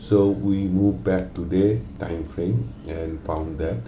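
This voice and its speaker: A man speaks with ordinary pitch variation. Room echo can be heard. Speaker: forex trading analyst. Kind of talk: tutorial. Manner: hesitant with many fillers.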